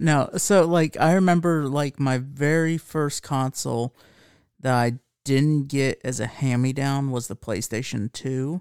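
A man's normal speaking voice, fairly high in pitch with ordinary variation, at a fairly slow pace, dry and close with no echo, on a very clean recording with a silent background. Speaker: podcast host. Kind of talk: casual chat.

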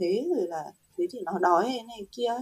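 In a high voice, a woman speaks at a fairly quick pace. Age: 30s. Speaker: guest on a parenting podcast, new mother. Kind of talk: casual chat.

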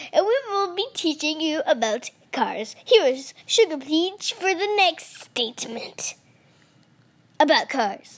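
Using a put-on character voice, a woman talks at a fairly slow pace, her extremely high pitch swinging very widely. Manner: quirky, exaggerated, teaching.

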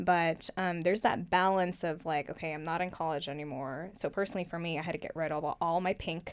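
Hardly pausing at all, a woman speaks at a very fast pace with a fairly low pitch and fairly even intonation in a very clean recording with a silent background. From US, Oregon. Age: 20s. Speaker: former rose queen. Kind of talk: casual interview.

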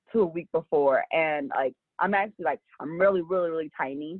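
An ordinary speaking voice at a fairly quick pace with ordinary pitch variation. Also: woman. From Los Angeles. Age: 20s. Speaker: small business owner. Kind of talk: interview.

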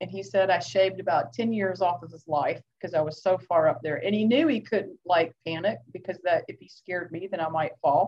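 A woman with an American accent, medium-pitched and somewhat breathy, at a fairly quick pace with hardly any pauses, ordinary pitch variation and big swings in loudness. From Georgia, US South. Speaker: clinical social worker and former firefighter. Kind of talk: interview conversation.

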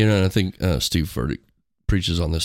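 Captured in a very clean recording with a silent background and a dry, close sound with no echo, a man with a Midwestern US accent speaks at a very deep, low pitch with ordinary pitch variation. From rural Missouri. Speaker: school district worker. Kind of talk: casual chat.

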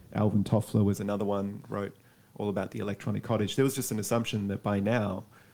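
With an Australian accent, a man speaks at a fairly quick pace in a fairly low voice with a dark, mellow tone. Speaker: academic. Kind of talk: interview.

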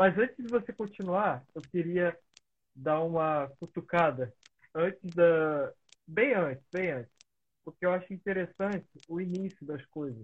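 A fairly slow, high-pitched male voice with ordinary pitch variation and long, frequent pauses. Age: 20s. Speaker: podcast host. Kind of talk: casual interview.

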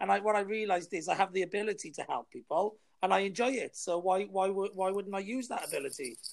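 The speaker is a man with a Welsh accent. His pitch is high. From Wales. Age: 40s. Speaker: new podcaster and marketer. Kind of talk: casual chat. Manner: confident, self-promoting.

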